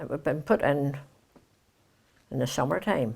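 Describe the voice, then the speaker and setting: At a fairly slow pace, a woman with a Northern Irish accent speaks with a very deep, low pitch. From Kilkeel, Northern Ireland. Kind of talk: oral history interview answer.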